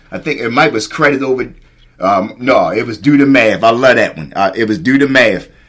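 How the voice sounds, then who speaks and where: Pitch varies in an ordinary way as a man talks at a moderate pace. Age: 40s. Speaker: podcast host. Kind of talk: casual interview chat.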